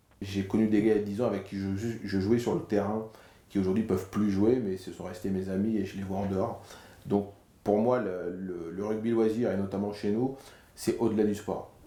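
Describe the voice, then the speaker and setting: A man speaks at a moderate pace in a fairly low pitch with monotone, flat intonation and a dark, mellow tone. Audible room echo surrounds the voice. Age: 40s. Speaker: amateur rugby player, club president. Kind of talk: interview. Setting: locker room. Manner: hesitant, with fillers.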